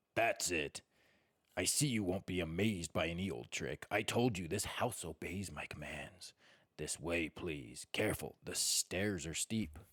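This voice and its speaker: Putting on a character voice, a man sounds croaky, growling and gruff, with a very deep, low pitch and a moderate pace. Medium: read story. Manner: gruff, growling.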